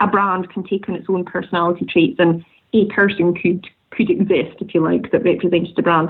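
A woman's medium-pitched voice in a Scottish Highland accent, at a moderate pace with ordinary pitch variation. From Scottish Highlands. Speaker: tartan designer and business owner. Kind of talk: interview conversation. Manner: hesitant, many fillers.

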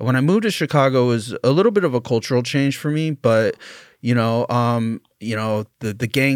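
On a very clean recording with a silent background and a dry, close sound with no echo, a man of medium pitch speaks with an American accent. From California. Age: 40s. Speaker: former prisoner, university student. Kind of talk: interview, life story. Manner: halting, many fillers.

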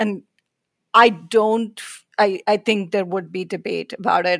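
A woman with an American accent speaks at a fairly slow pace with ordinary pitch variation. The sound is dry and close, with no echo. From India. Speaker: public relations executive. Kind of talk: interview conversation. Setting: video call.

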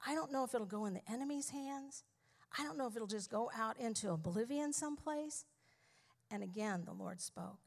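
In an ordinary speaking voice, a woman talks at a fairly quick pace with fairly high pitch and lively intonation. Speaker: pastor's wife. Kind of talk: testimony. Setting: stage with audience.

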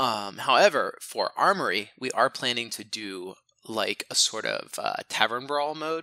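In a very clean recording with a silent background, a man with vocal fry and a bright, sharp tone speaks fairly slowly at a medium pitch, making very wide pitch swings. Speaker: podcast host and game company president. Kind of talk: casual chat.

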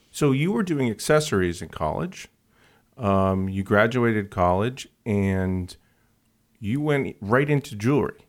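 With a normal speaking voice, a man of fairly low pitch speaks fairly slowly and with lively intonation in a very clean recording with a silent background. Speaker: podcast host. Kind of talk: casual interview.

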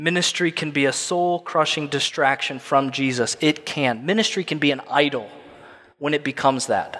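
A man's fairly high-pitched, bright, sharp voice, at a moderate pace with ordinary pitch variation. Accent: American. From Illinois. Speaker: pastor. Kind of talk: sermon.

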